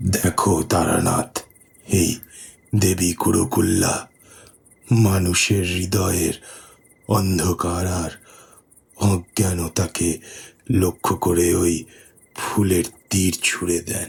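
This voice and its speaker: A man's put-on character voice, very deep and low, solemn in tone, at a very slow pace with fairly even intonation. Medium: audio drama. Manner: solemn, measured.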